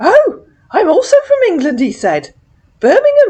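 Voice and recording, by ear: This put-on character voice sits at an extremely high pitch, swinging very widely up and down at a moderate pace.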